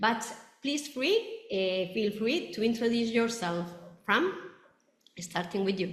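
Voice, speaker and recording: A woman speaks fairly slowly at a fairly high pitch, somewhat breathy. Long, frequent pauses break her speech, and room echo is audible. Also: lively intonation. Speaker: roundtable moderator. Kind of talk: webinar moderation. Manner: halting.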